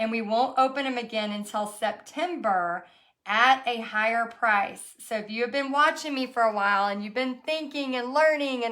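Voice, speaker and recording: At a moderate pace, a woman with a high voice speaks with ordinary pitch variation. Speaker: art teacher and online business coach. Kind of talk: live stream. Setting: live video stream. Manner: casual, filler-heavy.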